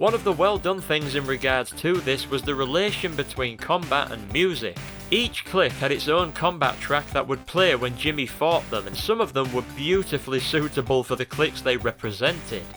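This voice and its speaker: Music plays in the background of this moderately paced speech. The intonation is lively, with hardly any pauses. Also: man, fairly high pitch for a man. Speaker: gaming video essayist. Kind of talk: game retrospective commentary.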